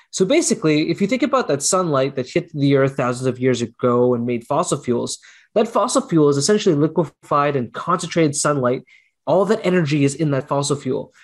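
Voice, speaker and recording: Against a quiet background, a man with a Canadian accent speaks at a fairly quick pace in a fairly high pitch with lively intonation. His is an ordinary speaking voice. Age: 30s. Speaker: clean energy researcher and professor. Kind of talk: interview.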